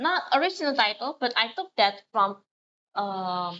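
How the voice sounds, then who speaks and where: At a very slow pace, a woman with a non-native accent lets her pitch swing very widely. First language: not English. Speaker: streamer. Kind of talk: casual livestream chat. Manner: halting.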